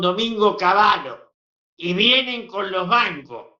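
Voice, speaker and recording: A man's raised, projected voice at a high pitch. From Argentina. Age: 80s+. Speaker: veteran politician. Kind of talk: interview.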